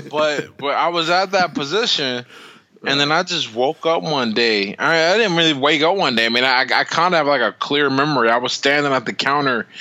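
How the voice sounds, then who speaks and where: Over noticeable background noise, a man with a fairly high voice sounds animated, his intonation lively, pace fairly quick and loudness very even. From US, inner-city projects. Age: 30s. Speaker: boxer and motivational speaker. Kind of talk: casual chat.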